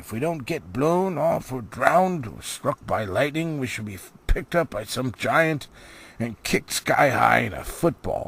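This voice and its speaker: Put-on character voice from a man with a fairly high pitch, moderate pace. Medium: read story.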